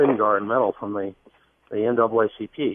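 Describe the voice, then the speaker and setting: A man's medium-pitched voice, an unremarkable speaking voice, with fairly even intonation at a moderate pace. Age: 50s. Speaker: political campaign organizer. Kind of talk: radio interview.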